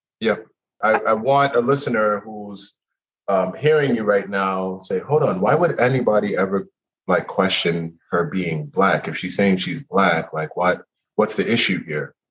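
A man speaks fairly slowly in an ordinary speaking voice with a fairly low pitch. His intonation is lively. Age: 40s. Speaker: podcast host. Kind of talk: casual interview chat. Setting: video call.

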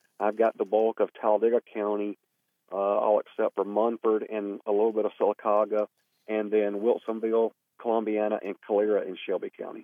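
Talking at a fairly quick pace, a man with a Southern US accent keeps his intonation monotone and flat. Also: fairly low pitch for a man. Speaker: newly elected state legislator and former county party chair.

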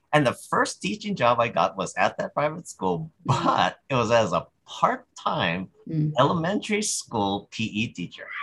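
A man speaks at a fairly slow pace with hardly any pauses. His fairly high voice makes very wide pitch swings. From Hawaii, Big Island. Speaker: high school psychology teacher. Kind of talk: interview. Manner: halting.

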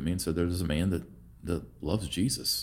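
A very fast American-accented man, very deep and low in pitch, with vocal fry. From Oklahoma. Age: 40s. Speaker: leadership coach. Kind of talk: casual interview.

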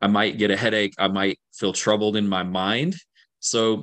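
With an American accent, a man uses a plain, everyday voice, pitched fairly low, moving at a moderate pace with fairly even intonation against a quiet background. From central Kentucky, US. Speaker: theology professor. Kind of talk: interview on faith.

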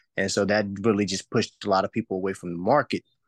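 In a dry, close recording with no echo and a quiet background, a man talks in a flat monotone at a fairly low pitch. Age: 20s. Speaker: realtor and food trailer owner. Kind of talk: casual interview.

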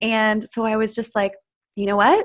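At a moderate pace, a woman talks in an ordinary speaking voice with a fairly high pitch. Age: 30s. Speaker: spiritual coach. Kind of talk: interview.

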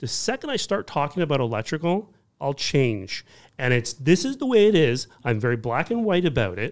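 On a very clean recording with a silent background, a man with a fairly high pitch speaks at a moderate pace, his pitch swinging very widely. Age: 40s. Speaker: electrician. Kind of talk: casual chat.

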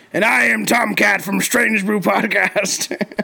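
A man puts on a raspy character voice pitched high. He delivers it at a fairly slow pace. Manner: put-on, comic.

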